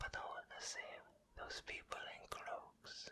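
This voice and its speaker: A man is whispering. He speaks at a very slow pace. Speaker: ASMR whisper narrator. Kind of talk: whispered bedtime story reading of a novel chapter. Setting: binaural microphone, close to the ear. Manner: whispered, soft, slow.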